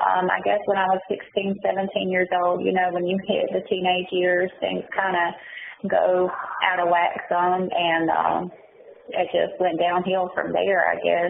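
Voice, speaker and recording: Speaking at a fairly slow pace, a woman has a Southern US accent and very even loudness. Noticeable background noise runs under her voice. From North Carolina, Mount Olive and Goldsboro. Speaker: prison inmate, interviewee. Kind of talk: interview. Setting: prison phone call. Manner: hesitant, many fillers.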